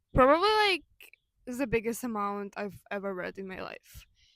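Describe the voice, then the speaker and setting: Fairly high-pitched woman with a Ukrainian accent and ordinary pitch variation. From Ukraine. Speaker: video essayist. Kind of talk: personal video essay. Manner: casual, with fillers and self-corrections.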